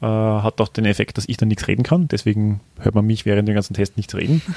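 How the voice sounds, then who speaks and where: A fairly low-pitched man with a dark, mellow tone and fairly even intonation. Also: dry, close sound with no echo, very clean recording, silent background. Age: 30s. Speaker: podcast co-host and amateur cyclist. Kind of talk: casual chat. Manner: hesitant, many fillers.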